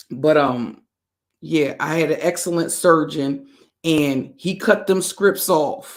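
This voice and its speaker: Speaking at a very slow pace, a woman has a very deep, low pitch and ordinary pitch variation. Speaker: livestream host, narcissistic abuse commentator. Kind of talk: casual livestream chat. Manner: conversational, greets chat mid-sentence.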